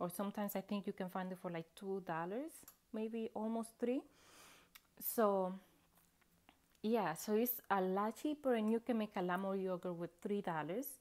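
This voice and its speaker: A medium-pitched woman with a non-native accent at a moderate pace, ordinary pitch variation, on a very clean recording with a silent background. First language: not English. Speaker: home cooking video maker. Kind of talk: tutorial. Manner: hesitant, many fillers.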